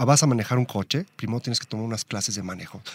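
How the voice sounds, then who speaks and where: The recording of the man sounds dry and close, with no echo. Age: 30s. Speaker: motorcycling enthusiast. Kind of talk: casual chat.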